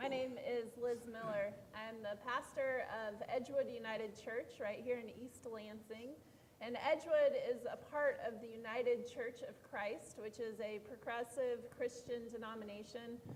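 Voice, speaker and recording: A woman's high-pitched voice at a fairly slow pace, fairly even in intonation, with noticeable background noise. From California. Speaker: pastor. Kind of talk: panel introduction.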